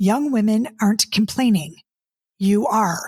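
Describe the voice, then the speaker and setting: A woman speaks at a moderate pace in a fairly high pitch, somewhat breathy. The recording is very clean, with a silent background. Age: 50s. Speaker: dating coach and podcast host. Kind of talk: casual podcast monologue. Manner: animated, repetitive stammering.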